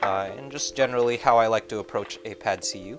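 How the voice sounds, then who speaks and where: A man with ordinary pitch variation, music in the background. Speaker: cooking streamer. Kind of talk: tutorial. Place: kitchen.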